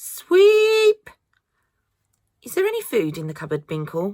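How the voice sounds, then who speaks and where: A woman speaks at a fairly slow pace in a British accent. The recording is very clean, with a silent background. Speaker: mother. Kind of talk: children's audiobook reading.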